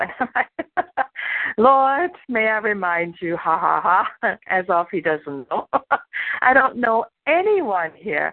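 A woman with a German accent at a very slow pace. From Germany. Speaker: pastor. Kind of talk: sermon.

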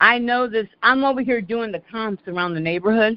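At a fairly slow pace, a woman speaks with a fairly high pitch and an unremarkable speaking voice. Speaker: call host. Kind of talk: community call discussion. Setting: phone call.

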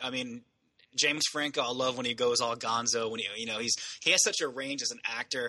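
Enthusiastic in tone, a man with a medium pitch talks at a fairly quick pace. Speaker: podcast co-host, movie reviewer. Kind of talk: casual chat, profane banter. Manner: casual, enthusiastic.

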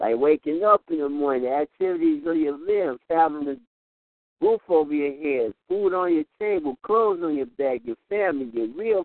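A man speaks in a normal speaking voice with lively intonation at a fairly slow pace. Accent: American. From Houston, Texas. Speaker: poet. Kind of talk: spoken word poetry performance. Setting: phone call.

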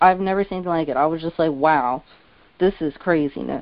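This woman has a normal speaking voice with ordinary pitch variation and a fairly quick pace. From central New Jersey. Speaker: college student caller. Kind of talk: call-in discussion.

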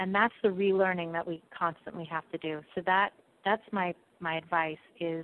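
At a moderate pace, a woman with an American accent talks in a normal speaking voice with fairly even intonation. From New York City. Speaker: PR firm founder. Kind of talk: interview.

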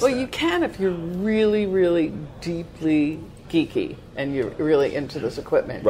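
A woman with a New York accent speaks at a moderate pace in a fairly low pitch, with very wide pitch swings. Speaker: radio show co-host. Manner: lively, laughing, chatty.

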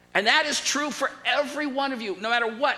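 In an audibly echoing room, a man speaks in a raised, projected voice. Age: 60s. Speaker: pastor. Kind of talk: sermon.

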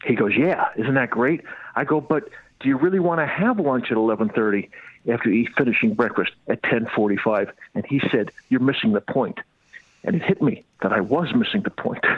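Keeping a very even loudness, a man speaks at a moderate pace and medium pitch while his pitch swings very widely. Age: 60s. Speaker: comedian. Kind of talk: interview. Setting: phone call.

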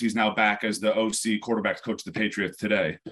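A man with an American accent in a normal speaking voice at medium pitch and a fairly quick pace. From New York, upstate near West Point. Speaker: former NFL player. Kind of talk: interview.

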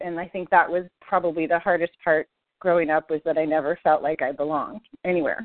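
At a fairly quick pace, a woman talks in a plain, everyday voice. Her pitch is fairly low and her intonation fairly even. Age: 40s. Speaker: podcast guest, listener, adoptee and parent. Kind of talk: personal testimony in interview.

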